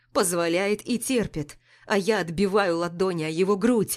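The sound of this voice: With ordinary variation in pitch, an unforced reading voice carries the clip.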